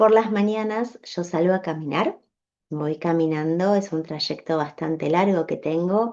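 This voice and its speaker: A woman speaks in a calm, gentle tone. Her voice is dark and mellow, with lively intonation. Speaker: podcast host, animal communicator. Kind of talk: personal storytelling podcast. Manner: slow.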